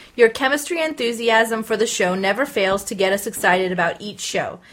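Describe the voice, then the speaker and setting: An unremarkable speaking voice at a fairly quick pace, with lively intonation. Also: woman. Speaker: podcast host. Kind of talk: casual chat.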